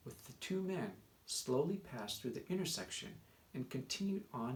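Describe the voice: Someone does plain reading aloud here.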